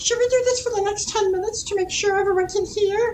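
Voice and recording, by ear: In a put-on character voice, the speaker talks at a very fast pace and an extremely high pitch. Clear background noise is present.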